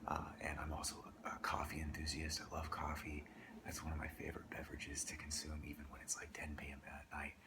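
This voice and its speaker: A whisper rushes along very fast with noticeable noise behind it. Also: man. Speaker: entrepreneur. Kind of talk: ASMR soft-spoken rambling to camera. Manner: soft-spoken.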